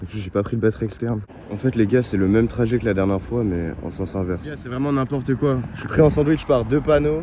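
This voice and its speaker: Over noticeable background noise, a man speaks at medium pitch. His tone is animated and his pace fairly quick. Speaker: vlogger. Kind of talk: vlog narration to camera. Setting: outdoors by a road at night. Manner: casual, animated.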